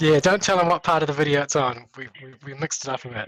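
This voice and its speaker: Delivered at a very fast pace with fairly even intonation, the voice has a dry, close sound with no echo. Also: man. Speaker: esports commentator. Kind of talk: awards announcement.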